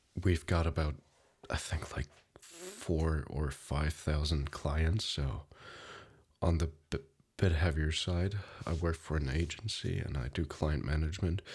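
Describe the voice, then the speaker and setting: On a very clean recording with a silent background, a soft-spoken man with a very deep, low pitch, vocal fry and fairly even intonation talks with long, frequent pauses. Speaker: ASMR creator; insurance client manager. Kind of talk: ASMR life update talk.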